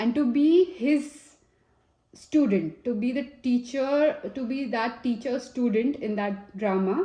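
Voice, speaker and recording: Speaking in an Indian accent, a woman has a high pitch, a dark, mellow tone and lively intonation. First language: Hindi. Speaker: tarot reader. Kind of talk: tarot reading. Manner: casual and chatty with fillers.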